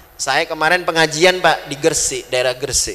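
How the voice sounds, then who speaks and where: Over music in the background, a man with a fairly high pitch talks at a moderate pace. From West Kalimantan, Indonesia (Madurese family). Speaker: Islamic preacher. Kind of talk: sermon.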